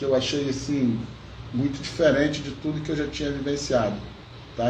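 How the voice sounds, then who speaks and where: Speaking in a monotone with flat intonation, a man keeps a moderate pace amid audible room echo and noticeable background noise. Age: 60s. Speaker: podcast co-host. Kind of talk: casual chat.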